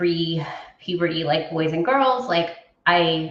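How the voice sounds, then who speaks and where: A woman speaks with a fairly low pitch, and audible echo fills the room. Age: 40s. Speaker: interviewee sharing personal transition story. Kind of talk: interview. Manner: halting, many fillers.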